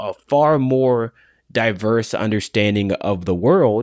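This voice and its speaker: The recording is very clean, with a silent background. A man with a normal speaking voice talks at a medium pitch with ordinary pitch variation. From United States. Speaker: author. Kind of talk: interview.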